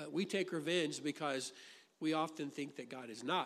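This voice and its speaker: A man with an American accent has a normal speaking voice at a fairly high pitch and a fairly quick pace against a quiet background. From US Midwest, Illinois. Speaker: pastor. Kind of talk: sermon. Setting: church.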